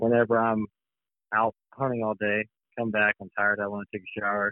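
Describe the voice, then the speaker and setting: Monotone, flat intonation marks this man's fairly low voice. He speaks at a moderate pace in an American accent. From US Midwest, Missouri. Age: 30s. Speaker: waterfowl hunting outfitter. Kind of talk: casual interview.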